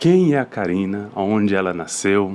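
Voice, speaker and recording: Lively intonation marks this man's fairly low-pitched voice, delivered at a very slow pace. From rural Brazil. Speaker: podcast host. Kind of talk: podcast interview.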